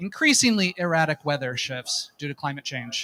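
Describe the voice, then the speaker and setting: With an American accent, a man speaks at a fairly quick pace in a high pitch, his tone bright and sharp and the sound dry and close with no echo. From United States. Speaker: nonprofit drone network representative. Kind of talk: conference presentation. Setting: stage with audience. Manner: hesitant, many fillers.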